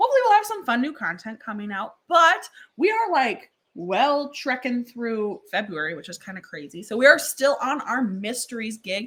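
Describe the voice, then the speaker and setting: A woman speaks at a moderate pace with a bright, sharp tone. Her pitch swings very widely. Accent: Wisconsin. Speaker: podcast co-host. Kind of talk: casual chat.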